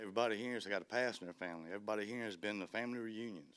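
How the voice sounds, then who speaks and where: Speaking very fast with a South Louisiana accent, a man uses ordinary pitch variation. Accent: South Louisiana Southern US. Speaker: parent. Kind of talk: public comment at board meeting. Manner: casual.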